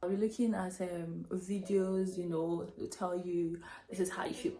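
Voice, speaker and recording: With music in the background, a woman speaks at medium pitch. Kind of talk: casual story time talk to camera. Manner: chatty, hesitant with fillers.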